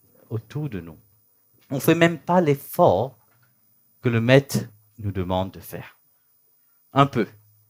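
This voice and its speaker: A man with a medium pitch speaks at a very slow pace, leaving long, frequent pauses. His pitch swings very widely and his loudness rises and falls sharply. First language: not French, thinks in English (speaking French). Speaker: spiritual teacher. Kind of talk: spiritual talk (satsang). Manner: halting, searching for words.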